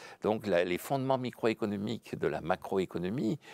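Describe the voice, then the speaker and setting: A man speaks at a moderate pace. The recording is very clean with a silent background and a dry, close sound with no echo. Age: 70s. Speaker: economics professor. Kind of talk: interview. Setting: studio.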